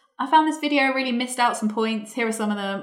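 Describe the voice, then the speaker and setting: Noticeable background noise sits under a woman speaking very fast with ordinary pitch variation. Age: 20s. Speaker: booktuber. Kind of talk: interview.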